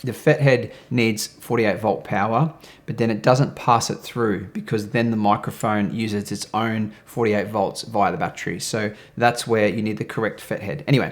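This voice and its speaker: Recorded very cleanly against a silent background, the speech moves at a moderate pace. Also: man. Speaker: video creator reviewing audio gear. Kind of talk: tutorial. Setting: studio.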